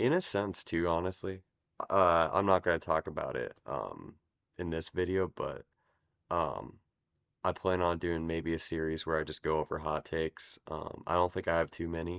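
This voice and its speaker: Very deep and low, a man's voice holds fairly even intonation at a moderate pace. The sound is dry and close with no echo against a quiet background. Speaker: video essay youtuber. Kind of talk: casual monologue. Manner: halting, many fillers.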